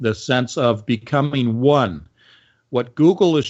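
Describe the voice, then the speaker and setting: A man speaks fairly slowly at a medium pitch, with ordinary pitch variation. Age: 60s. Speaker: conspiracy commentator. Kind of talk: casual chat. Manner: animated.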